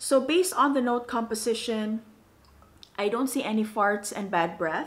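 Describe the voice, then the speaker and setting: Speaking at a fairly slow pace, a woman with an unremarkable speaking voice holds a fairly high pitch. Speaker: perfume reviewer. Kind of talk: casual talk to camera. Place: home room.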